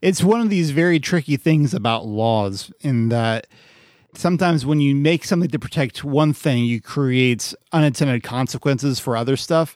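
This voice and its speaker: In a very clean recording with a silent background and a dry, close sound with no echo, a man with an unremarkable speaking voice talks at a fairly high pitch and moderate pace, with lively intonation and very even loudness. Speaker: podcast host. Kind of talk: casual chat.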